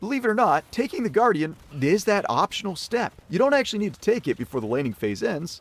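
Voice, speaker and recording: With vocal fry and very wide pitch swings, a man talks at a very fast pace in a dry, close sound with no echo. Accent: American. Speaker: gaming YouTuber. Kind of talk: game guide commentary. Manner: sarcastic, jokey.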